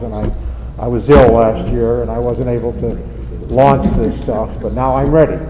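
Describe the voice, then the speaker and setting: With an American accent, the speaker is heard over noticeable background noise and audible room echo. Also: man. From Indiana, US Midwest. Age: 60s. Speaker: member of the public at council meeting. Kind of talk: public comment at meeting. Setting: city council meeting. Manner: rambling, halting with fillers.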